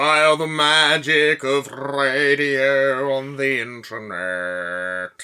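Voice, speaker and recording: Using a put-on character voice at a low-to-middle pitch, the speaker goes at a very slow pace. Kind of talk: mid-century broadcast delivery.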